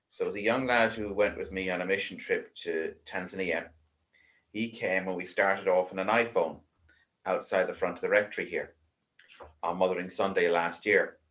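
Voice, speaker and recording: A man speaks at a moderate pace with an Irish accent. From Ireland. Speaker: vicar. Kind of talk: casual interview chat.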